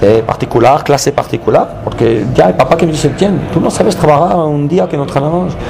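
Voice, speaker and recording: Talking at a fairly quick pace with hardly any pauses, a man with a Belgian accent uses lively intonation and a fairly high pitch over noticeable background noise. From Belgium (Charleroi). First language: French (speaking Spanish). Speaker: former footballer and youth football coach. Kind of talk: interview. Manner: halting, many fillers and restarts.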